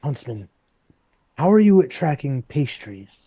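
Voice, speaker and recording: Putting on a character voice, a man speaks at a fairly high pitch with very wide pitch swings. His pace is fairly slow, and the sound is dry and close with no echo. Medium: actual play. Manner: dry, wry.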